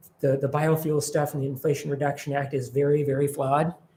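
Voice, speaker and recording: A man's somewhat breathy, fairly high-pitched voice with an American accent, at a fairly quick pace. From Minnesota, Minneapolis. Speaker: environmental advocacy director. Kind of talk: presentation with Q&A. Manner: fast; animated.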